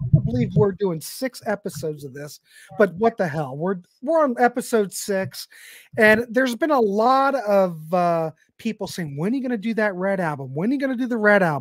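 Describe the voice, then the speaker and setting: This man talks at a fairly quick pace, his pitch swinging very widely. The sound is dry with no echo, against a quiet background. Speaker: podcast host. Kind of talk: casual live-stream chat. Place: home room. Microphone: studio mic.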